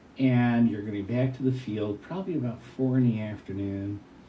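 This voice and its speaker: A man speaks at a moderate pace with ordinary pitch variation. Room echo is audible. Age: 70s. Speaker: retired hot air balloon event announcer. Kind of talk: interview.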